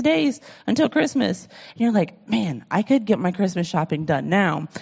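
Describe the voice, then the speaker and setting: An animated woman's voice with very wide pitch swings and vocal fry. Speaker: pastor. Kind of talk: sermon. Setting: church.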